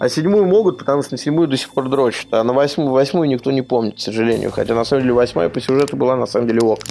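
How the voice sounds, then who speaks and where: Over noticeable background noise, a man at a medium pitch talks very fast with ordinary pitch variation. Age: 30s. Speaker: game journalist and blogger. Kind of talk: casual chat. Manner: animated.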